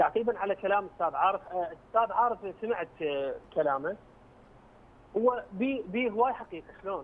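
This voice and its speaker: Speaking at a moderate pace, a man with a high pitch and ordinary pitch variation takes long, frequent pauses. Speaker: media personality. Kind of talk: TV panel discussion. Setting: phone call. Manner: animated.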